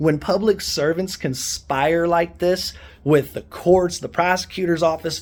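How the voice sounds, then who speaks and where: A man with a high pitch speaks loudly in an animated tone with ordinary pitch variation. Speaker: activist vlogger. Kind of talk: angry rant.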